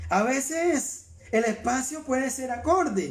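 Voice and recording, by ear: A man with extremely high pitch and lively intonation, in audible room echo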